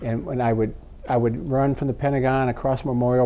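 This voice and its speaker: A man speaks with an American accent at a medium pitch. His tone is dark and mellow, with fairly even intonation. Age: 60s. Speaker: retired air force officer, veterans commission president. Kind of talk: interview. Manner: halting, many fillers and repeats.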